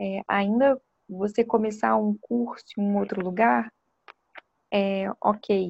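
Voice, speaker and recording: An ordinary speaking voice from a woman at medium pitch, lively in intonation. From Espírito Santo, Brazil (Vitória). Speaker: clinical psychologist. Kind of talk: interview talk.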